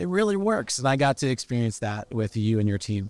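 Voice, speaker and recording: Talking at a fairly quick pace, a man has a normal speaking voice at a medium pitch. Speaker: podcast host. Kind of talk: interview. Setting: conference recording.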